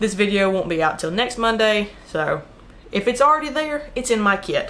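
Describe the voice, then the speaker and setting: A woman's high-pitched voice with lively intonation. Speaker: YouTuber reviewing tech gear. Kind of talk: casual vlog talk to camera. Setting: home desk setup. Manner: fast.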